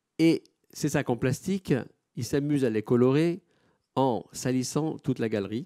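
Against a quiet background, a man speaks in a dark, mellow tone with ordinary pitch variation. He leaves long, frequent pauses. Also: medium pitch for a man, fairly slow pace. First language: Italian (speaking French). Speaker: gallery director; moderator or curator presenting the artist. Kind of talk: panel moderation. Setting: auditorium with audience. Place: hall. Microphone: microphone problems.

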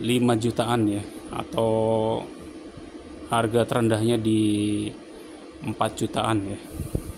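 Noticeable background noise sits behind this man's voice. He talks at a very slow pace with monotone, flat intonation. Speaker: welder reviewing a machine. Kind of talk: tutorial. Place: workshop.

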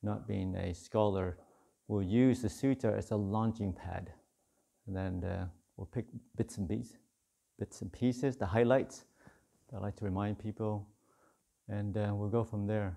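A man speaks at a fairly low pitch in a dark, mellow tone with fairly even intonation. He leaves long, frequent pauses against a quiet background. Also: moderate pace. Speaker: monk teacher. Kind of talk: dharma talk. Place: hall.

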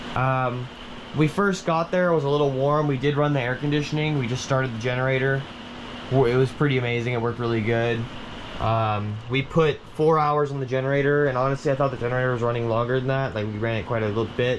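With light background noise behind him, a man speaks very fast with fairly even intonation. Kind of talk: casual review walk-through. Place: home room. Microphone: phone near.

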